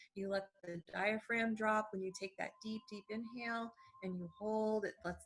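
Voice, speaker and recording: Music plays in the background as a woman with a medium pitch speaks in a calm, soothing tone and fairly even intonation. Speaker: doctor of acupuncture and Eastern medicine. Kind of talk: interview answer.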